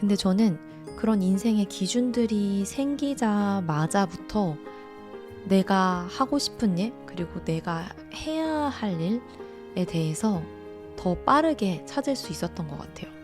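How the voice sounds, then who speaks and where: Music plays in the background as a woman speaks at a very slow pace in a calm tone. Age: 30s. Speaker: mental-wellness channel host and essay author. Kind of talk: casual talk to camera, self-reflective talk (talk ASMR). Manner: calm, reflective, conversational, with some hesitation fillers.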